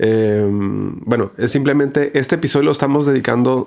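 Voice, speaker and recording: A man speaks with fairly even intonation. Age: 40s. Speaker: podcast host. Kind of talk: casual interview. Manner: hesitant, many fillers.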